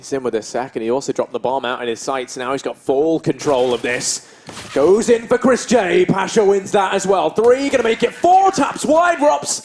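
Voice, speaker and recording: A man talks in a high voice with very wide pitch swings. Music plays in the background. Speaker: esports caster. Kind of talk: live commentary. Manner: animated; fast.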